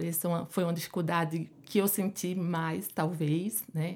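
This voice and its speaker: The recording is very clean, with a silent background. A woman speaks in a fairly low voice. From Pernambuco, Brazil. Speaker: endocrinologist. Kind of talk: interview.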